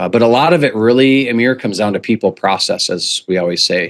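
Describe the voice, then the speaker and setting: A man with an American accent, a normal speaking voice, medium pitch, ordinary pitch variation and a fairly quick pace. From US Midwest, central North Dakota. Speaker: business coach. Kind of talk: podcast interview.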